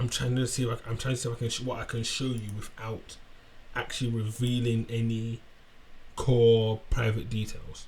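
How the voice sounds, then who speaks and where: The delivery is monotone, with flat intonation, at a moderate pace. Noticeable background noise is present. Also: man, medium pitch for a man. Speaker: tech tutorial creator. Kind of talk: screen-share tutorial. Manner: halting, self-correcting.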